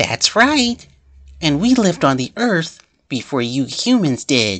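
A man's put-on character voice, high-pitched with very wide pitch swings, over a quiet background. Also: fairly slow pace.

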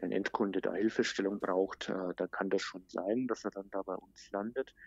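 Fairly slow, fairly low-pitched speech from a man, with fairly even intonation. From Germany, outside Baden. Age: 40s. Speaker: digital marketing manager. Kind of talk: interview. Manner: frequent filler sounds.

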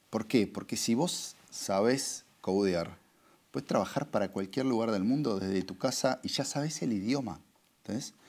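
This man talks in a Rioplatense accent at a fairly slow pace. His intonation is lively. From Argentina. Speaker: advertising agency executive; interviewee. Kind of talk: interview. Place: studio.

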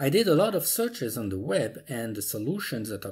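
Against a quiet background, a man speaks at a moderate pace with a somewhat breathy voice. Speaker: tutorial maker. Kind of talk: tutorial. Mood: mildly indignant, persuasive.

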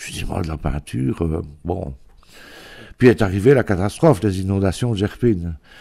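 Speaking at a moderate pace with long, frequent pauses, a man with a very deep, low pitch and a dark, mellow tone uses lively intonation and big swings in loudness, recorded very cleanly over a silent background. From Belgium, near Givet (Ardennes border). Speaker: painter and author. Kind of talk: interview. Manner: halting, with many repetitions.

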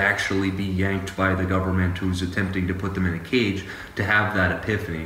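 With light background noise and audible room echo, a man speaks in a very deep, low pitch with monotone, flat intonation. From Louisiana. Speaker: criminal defense attorney. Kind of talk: interview. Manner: halting, many fillers. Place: office. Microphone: earbuds.

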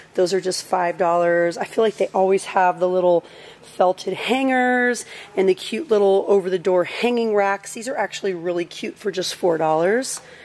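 Ordinary variation marks the pitch. Delivery proceeds at a moderate speed. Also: woman. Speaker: shopping vlogger. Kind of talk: casual vlog chat. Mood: cheerful, enthusiastic. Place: shop. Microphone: phone near.

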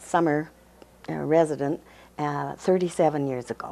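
This woman has a very deep, low pitch. Her intonation is lively. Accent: Western Canadian. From Canada, Burnaby, British Columbia; British Columbia. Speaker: museum and archives volunteer, marriage commissioner; interviewee. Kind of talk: interview. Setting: studio. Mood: warm, reminiscent. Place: office. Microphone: lapel.

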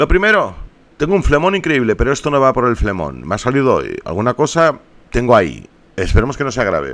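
A man speaks at a moderate pace with vocal fry and a medium pitch. His pitch swings very widely. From Barcelona, Spain. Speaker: YouTuber, gaming streamer. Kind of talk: casual vlog appeal to viewers.

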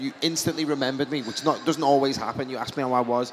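A man rattles off words at a very fast pace in a monotone, flat intonation over light background noise. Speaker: event moderator. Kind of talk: convention stage Q&A. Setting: stage with audience. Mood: warm, enthusiastic. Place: hall. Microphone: handheld.

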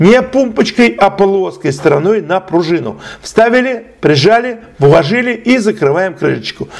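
There is noticeable background noise as a high-pitched man speaks. His pace is fairly slow and his intonation lively. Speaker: channel host and tech tutorial presenter. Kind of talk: tutorial. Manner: slow, detailed explanation.

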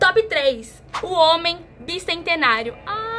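A woman uses a raised, projected voice with very wide pitch swings. Light background noise is present. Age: 20s. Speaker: youtuber. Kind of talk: casual vlog. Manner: animated. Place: home room. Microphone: phone near.

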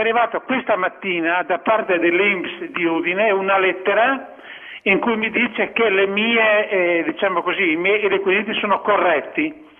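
Speech at a moderate pace keeps very even loudness and ordinary pitch variation, with noticeable background noise around it. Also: man. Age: 60s. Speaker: caller. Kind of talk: casual chat. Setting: phone call. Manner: halting.

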